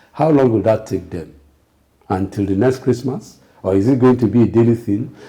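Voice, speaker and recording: A man's somewhat breathy voice at medium pitch, dark, mellow tone, ordinary pitch variation and a moderate pace. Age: 60s. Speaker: political commentator. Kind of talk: political talk show discussion. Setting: TV studio.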